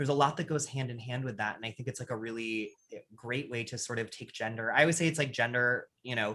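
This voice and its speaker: Medium-pitched male voice, bright and sharp, with ordinary pitch variation on a very clean recording with a silent background. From US, Maine. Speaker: drag performer and streamer. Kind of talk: casual interview.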